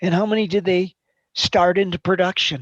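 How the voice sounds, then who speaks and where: With a plain, everyday voice, a woman speaks at medium pitch and a moderate pace in a dry, close sound with no echo over a quiet background. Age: 60s. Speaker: accounting teacher. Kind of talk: classroom lecture. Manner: interactive questioning.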